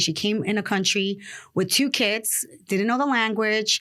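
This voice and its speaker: The speaker is a woman with a Spanish accent. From Dominican Republic, then New York City from age 8. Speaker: real estate investor. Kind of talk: podcast interview.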